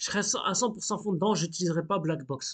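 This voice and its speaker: Ordinary pitch variation from a man's voice, the background quiet. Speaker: hobbyist coding tutorial youtuber. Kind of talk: screen-recorded coding tutorial. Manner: casual, hesitant with fillers.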